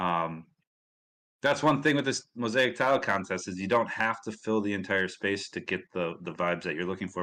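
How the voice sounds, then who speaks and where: A man's bright, sharp tone in a Midwestern accent, over a quiet background. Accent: Midwest US. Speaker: community livestream host. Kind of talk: casual livestream chat.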